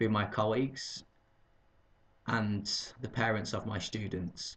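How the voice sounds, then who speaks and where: Somewhat breathy and fairly low in pitch, a man with a Lancashire accent speaks at a fairly slow pace. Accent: northern English (Lancashire). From northern England, Burnley, Lancashire. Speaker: English teacher. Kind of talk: video job application. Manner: formal.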